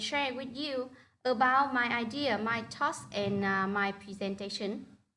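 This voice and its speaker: Bright and sharp in tone, a woman with a Vietnamese accent speaks fairly slowly at a fairly high pitch with ordinary pitch variation, with audible room echo around her. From northern Vietnam. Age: 30s. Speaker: primary school teacher. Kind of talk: online presentation. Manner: halting.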